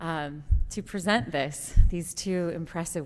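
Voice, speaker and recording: A woman's shaky voice comes with audible room echo. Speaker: MBA student, award winner. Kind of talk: award acceptance speech. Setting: stage at conference.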